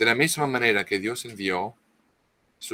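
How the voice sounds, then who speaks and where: A man speaks at a fairly slow pace with a non-native accent, his bright, sharp tone captured in a dry, close sound with no echo. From France. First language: French (speaking Spanish). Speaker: author, expert on Marian apparitions. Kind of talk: interview talk. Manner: halting, many false starts.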